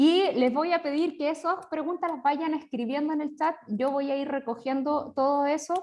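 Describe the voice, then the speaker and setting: A woman with a Chilean accent speaks at a moderate pace against a quiet background. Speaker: religious sister, seminar organizer. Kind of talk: online seminar introduction. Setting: video call.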